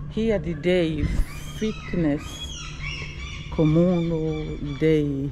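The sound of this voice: Over clear background noise, a woman speaks at a very slow pace with a low pitch and ordinary pitch variation.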